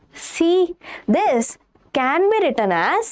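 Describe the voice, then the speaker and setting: A woman's voice ranges through very wide pitch swings. Noticeable background noise sits behind it. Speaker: online physics teacher. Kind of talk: lecture. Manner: slow.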